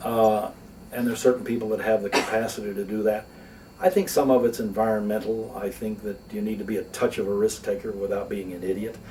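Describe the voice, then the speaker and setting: A man talks very fast, his intonation fairly even, while noticeable background noise plays behind him. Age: 60s. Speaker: lawyer and philanthropist. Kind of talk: interview. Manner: conversational, with fillers.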